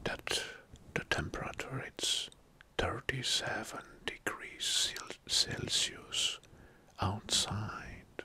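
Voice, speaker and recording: A man is whispering. He goes at a very slow pace. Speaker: ASMR creator. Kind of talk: soft-spoken ASMR explainer talk. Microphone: studio mic.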